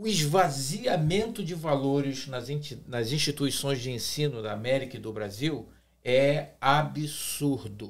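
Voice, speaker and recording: Somewhat breathy and with lively intonation, a man speaks at a fairly high pitch and a fairly slow pace amid audible room echo. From Brazil. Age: 60s. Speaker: pastor. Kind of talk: podcast discussion. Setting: studio table.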